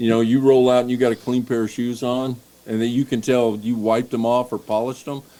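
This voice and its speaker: In a Tennessee accent, the speaker races along at a very fast pace with monotone, flat intonation and a dark, mellow tone. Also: man, medium pitch for a man. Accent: Southern US (Tennessee). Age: 60s. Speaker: baseball coach. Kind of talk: casual chat.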